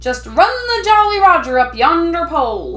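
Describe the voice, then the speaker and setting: A man bellows loudly in a put-on character voice. He keeps a moderate pace. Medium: read story. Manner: loud, bellowing pirate talk.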